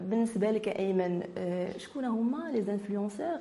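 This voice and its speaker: A woman talks at a medium pitch, and audible room echo is heard. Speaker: web TV host. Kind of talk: interview.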